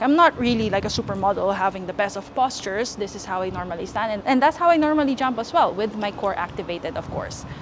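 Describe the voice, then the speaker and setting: A woman with lively intonation, music in the background. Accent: non-native. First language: not English. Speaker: fitness youtuber. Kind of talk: tutorial. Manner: casual, chatty.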